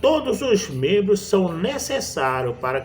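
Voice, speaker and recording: This man talks fairly slowly while noticeable background noise plays behind him. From Brazil, Pernambuco backlands (Northeast). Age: 60s. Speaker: evangelist preacher. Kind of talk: sermon. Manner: halting.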